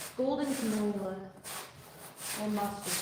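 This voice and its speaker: A woman speaks with ordinary pitch variation. Noticeable background noise and audible room echo surround her voice. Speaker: painting instructor. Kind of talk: painting tutorial with casual chat. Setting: live stream. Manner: soft-spoken, not loud.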